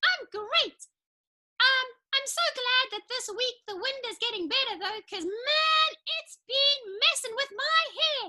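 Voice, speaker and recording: This cartoonish character voice is extremely high-pitched and moves at a fairly slow pace. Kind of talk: children's church puppet show. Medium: puppet. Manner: excitable, chatty.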